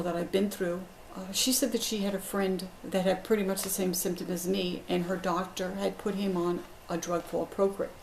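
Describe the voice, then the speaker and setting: Over noticeable background noise, a woman of medium pitch talks at a moderate pace with fairly even intonation. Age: 60s. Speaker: patient. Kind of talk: testimony. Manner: hesitant with fillers.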